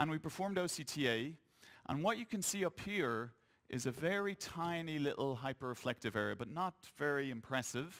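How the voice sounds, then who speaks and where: A man with an Irish accent at a fairly high pitch and fairly quick pace, in a very clean recording with a silent background. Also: lively intonation. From Ireland. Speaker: eye doctor. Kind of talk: conference lecture.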